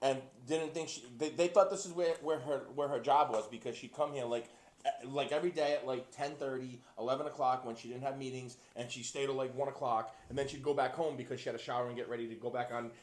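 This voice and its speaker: Over noticeable background noise, a man speaks at a very fast pace in an animated tone, his medium pitch varying in an ordinary way. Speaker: podcast co-host. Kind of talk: casual chat.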